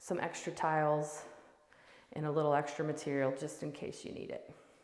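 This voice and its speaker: Amid audible room echo and noticeable background noise, a woman speaks at a moderate pace. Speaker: real estate agent. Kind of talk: home tour walkthrough. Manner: animated.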